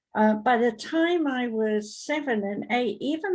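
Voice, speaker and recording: Somewhat breathy, a woman speaks with a British accent. The background is quiet. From Britain. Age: 70s. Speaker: psychic medium and talk show host. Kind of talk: talk show discussion. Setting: live online broadcast.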